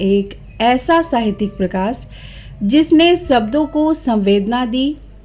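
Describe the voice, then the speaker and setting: A woman with a high pitch and lively intonation speaks against noticeable background noise. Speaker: narrator. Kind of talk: biographical documentary narration.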